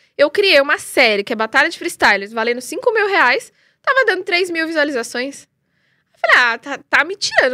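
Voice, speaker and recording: A woman with a high pitch speaks in a raised, projected voice at a fairly quick pace, her bright, sharp tone swinging very widely in pitch. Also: big swings in loudness. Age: 30s. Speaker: freestyle football influencer. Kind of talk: live interview. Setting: live stream.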